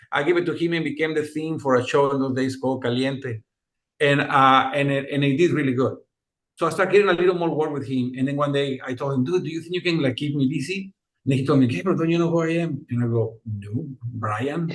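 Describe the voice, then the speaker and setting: A man talks at a very fast pace in a fairly high pitch, with a Mexican accent. His pitch varies in an ordinary way. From Mexico, Monterrey. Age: 50s. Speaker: music producer and composer. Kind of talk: interview. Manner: animated.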